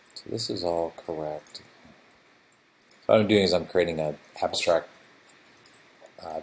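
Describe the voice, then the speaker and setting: A man mumbles his words at a moderate pace. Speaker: game developer streamer. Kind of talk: live coding stream. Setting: live stream. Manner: mumbling to himself.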